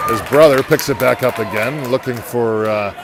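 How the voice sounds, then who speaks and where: A quiet man at a moderate pace, with ordinary pitch variation and noticeable background noise. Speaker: amateur hockey play-by-play commentator. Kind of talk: live commentary. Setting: in the bleachers at an ice rink. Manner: quiet, golf-style low voice.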